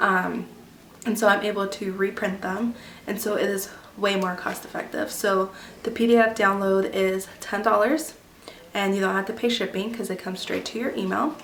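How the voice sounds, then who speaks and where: A woman speaks at a medium pitch with fairly even intonation. There is audible room echo and noticeable background noise. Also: moderate pace. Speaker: homeschooling mother and vlogger. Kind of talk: tutorial. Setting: at home. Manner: casual, many filler ums.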